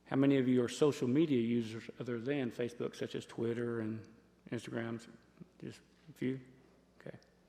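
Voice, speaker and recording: Speaking with a Southern US accent, a man with a dark, mellow tone talks at a medium pitch and a fairly quick pace, his intonation fairly even and his pauses long and frequent. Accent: Southern US (Georgia). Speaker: sheriff's office presenter on scam awareness. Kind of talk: public talk to a community audience. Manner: loud.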